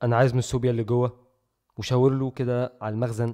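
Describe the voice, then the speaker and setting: Against a quiet background, a man talks in a dark, mellow tone at medium pitch. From Egypt, Cairo. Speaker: YouTuber. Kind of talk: casual vlog monologue. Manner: lowered voice; animated.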